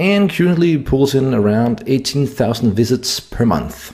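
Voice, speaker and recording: With a Danish accent, a man speaks at medium pitch and a moderate pace, his pitch swinging very widely. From Denmark. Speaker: SEO marketer. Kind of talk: tutorial.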